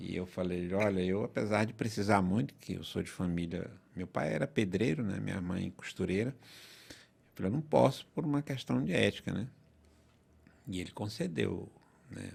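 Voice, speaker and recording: The speaker uses lively intonation and vocal fry at a moderate pace. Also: man, very deep, low pitch for a man. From northern Brazil, southern Pará. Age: 50s. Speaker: lawyer. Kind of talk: podcast interview.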